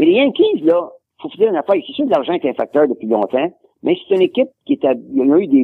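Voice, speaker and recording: At a very fast pace, a man talks with very wide pitch swings. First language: English (speaking French). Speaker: sports researcher and collector. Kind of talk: interview. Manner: halting.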